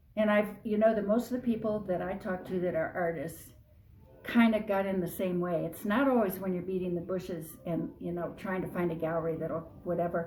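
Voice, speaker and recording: Amid audible room echo, a woman of medium pitch talks at a moderate pace with fairly even intonation. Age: 70s. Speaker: artist. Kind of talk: interview. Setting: artist's studio.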